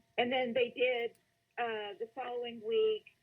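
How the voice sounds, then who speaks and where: Pitch varies in an ordinary way as the words come at a very slow pace. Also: woman. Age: 60s. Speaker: caller. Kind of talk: phone-in question to psychic. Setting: phone call.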